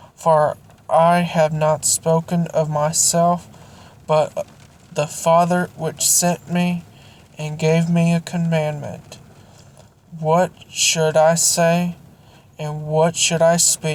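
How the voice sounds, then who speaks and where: A woman speaks very slowly, her fairly low voice flat and monotone. Long pauses come often. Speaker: Bible reading channel owner. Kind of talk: reading aloud; casual outro. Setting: near a car warming up.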